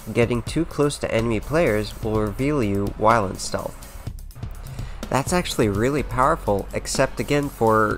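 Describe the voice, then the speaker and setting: Over background music, a man with a medium-pitched voice talks at a moderate pace with ordinary pitch variation. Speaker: gaming video creator. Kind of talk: gaming rant commentary.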